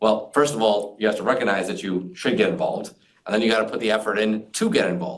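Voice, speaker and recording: A very fast man's voice, fairly low in pitch. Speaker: fintech community leader. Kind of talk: interview conversation. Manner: energetic; many fillers.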